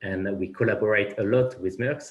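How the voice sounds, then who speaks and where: With a French accent, a man speaks at a moderate pace in a somewhat breathy voice with ordinary pitch variation. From France. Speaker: finance executive. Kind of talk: panel discussion. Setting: conference panel. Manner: halting, many repetitions.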